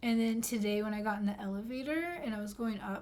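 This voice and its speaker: A woman mumbles her words at a moderate pace. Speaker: gaming streamer. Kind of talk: casual chat. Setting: live stream. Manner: mumbling.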